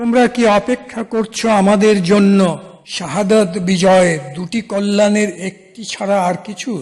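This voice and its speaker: The man's voice is high-pitched, with fairly even intonation. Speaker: Quran reciter and translator. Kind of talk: rhymed verse translation reading of scripture.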